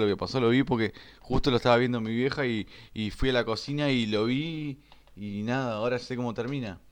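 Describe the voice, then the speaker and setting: A man with a Rioplatense accent talks at a moderate pace over a quiet background. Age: 20s. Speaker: podcaster. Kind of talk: casual monologue. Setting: at home. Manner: halting.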